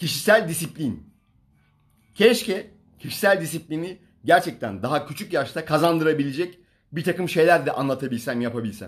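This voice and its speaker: At a moderate pace and with lively intonation, a man talks against a quiet background. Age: 40s. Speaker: fitness coach. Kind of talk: livestream talk. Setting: Instagram live stream. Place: home room. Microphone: phone near.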